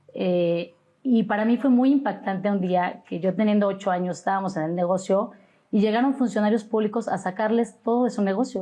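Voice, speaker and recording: At a medium pitch, a woman with a dark, mellow tone speaks at a moderate pace with ordinary pitch variation against a quiet background. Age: 40s. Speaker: judicial candidate, lawyer. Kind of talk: interview.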